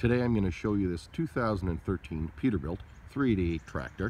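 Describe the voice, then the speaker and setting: Talking at a very fast pace, a man with a very deep, low pitch is heard through noticeable background noise, the sound dry with no echo. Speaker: vehicle seller or appraiser. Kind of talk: product walkaround description. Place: open country. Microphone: phone near.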